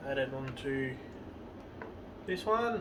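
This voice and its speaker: A man's high voice with very wide pitch swings, amid audible room echo and noticeable background noise. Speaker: home cooking vlogger. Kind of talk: cooking tutorial. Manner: repetitive, halting.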